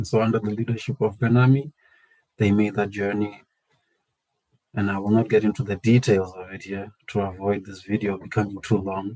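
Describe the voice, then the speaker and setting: With a South African accent, a man talks at a fairly quick pace in a fairly low pitch and a dark, mellow tone, his intonation fairly even but his loudness swinging widely. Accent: South African (Venda) English. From South Africa, Limpopo. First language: Tshivenda. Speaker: community organisation founder. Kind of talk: personal introduction monologue.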